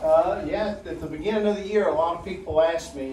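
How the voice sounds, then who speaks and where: Over light background noise, a man talks at a fairly quick pace with audible room echo. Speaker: middle school basketball coach. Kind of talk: informal remarks at meeting. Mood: proud, relaxed. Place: meeting room. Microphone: camera far.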